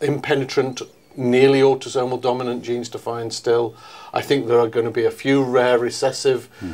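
A man talks in a monotone with flat intonation. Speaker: interviewee. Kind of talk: interview answer. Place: meeting room. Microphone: lapel.

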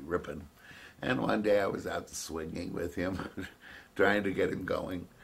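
Somewhat breathy, a man talks in a very deep, low pitch with ordinary pitch variation. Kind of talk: interview answer. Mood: reflective, with light laughs. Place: home room.

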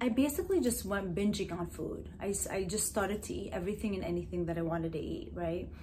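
Over light background noise, the speaker talks at a fairly quick pace with an animated tone and lively intonation. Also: woman. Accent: American. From New Jersey, US (Middle Eastern heritage). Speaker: hypnotherapist and wellness YouTuber. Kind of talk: motivational vlog monologue. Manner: animated, repetitive with fillers. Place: home room.

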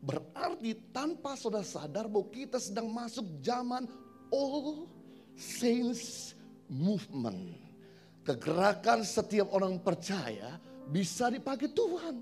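Faint music plays in the background. A man talks at a very slow pace. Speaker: preacher. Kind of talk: sermon. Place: church. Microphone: handheld.

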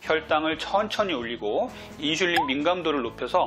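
A man speaks fairly quickly. Clear music can be heard behind him. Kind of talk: health explainer to camera. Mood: earnest, explanatory. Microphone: lapel.

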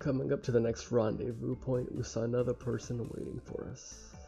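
A quiet man's voice with faint music in the background. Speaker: gamer streamer. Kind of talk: visual novel read-along let's play. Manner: casual. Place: home room.

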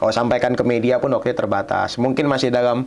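A man is speaking. His pitch is medium. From Indonesia, West Kalimantan (Pontianak); West Kalimantan, Indonesia. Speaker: student union leader; guest. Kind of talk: podcast interview. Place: studio.

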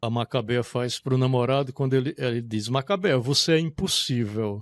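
This man talks at a fairly quick pace in a northeastern Brazilian accent. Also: dry sound with no echo. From Brazilian Northeast, Caraúbas, Rio Grande do Norte; Rio Grande do Norte, Brazil. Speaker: literature professor and author; literature professor. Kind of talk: interview talk about his books. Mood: reflective, moved. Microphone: studio mic.

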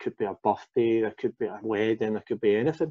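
A man speaks with a Glaswegian accent. The background is quiet. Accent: Glaswegian Scottish. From Glasgow, Scotland. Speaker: former fitness coaching client, father; former fitness coaching client. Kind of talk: casual interview. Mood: relaxed, candid. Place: home room. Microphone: video call.

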